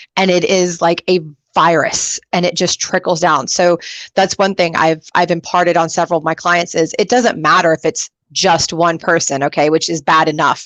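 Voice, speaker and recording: An enthusiastic woman's voice, fairly low-pitched, at a moderate pace, with very even loudness and a dry, close sound free of echo. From Texas. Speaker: career show host. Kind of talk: talk show interview.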